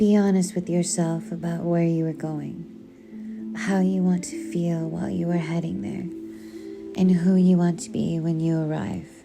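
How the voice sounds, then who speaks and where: With music in the background, a woman speaks at a fairly low pitch and fairly slow pace. Her tone is calm and her intonation lively. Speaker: audiobook narrator. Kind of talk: poetry reading. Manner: calm, soft-spoken.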